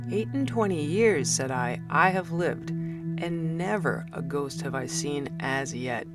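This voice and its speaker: The speech runs at a fairly slow pace with music playing in the background. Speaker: amateur audiobook narrator. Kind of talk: short story reading.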